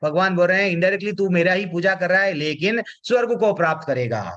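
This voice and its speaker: This man has a bright, sharp tone and a high pitch. He keeps a moderate pace. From South India. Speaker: spiritual teacher. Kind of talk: religious class lecture. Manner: repetitive, emphatic explanatory.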